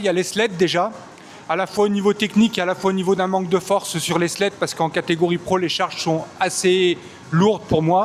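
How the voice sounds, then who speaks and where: Background noise is noticeable as a man talks at a fairly quick pace. His voice is high, with fairly even intonation. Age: 40s. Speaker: performance coach. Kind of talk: interview answers. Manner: hesitant, many fillers.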